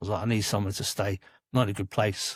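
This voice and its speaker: Somewhat breathy and fairly low, the man's voice moves at a fairly quick pace. The sound is dry and close with no echo, on a very clean recording with a silent background. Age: 30s. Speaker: podcast guest, former prison worker. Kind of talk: casual interview.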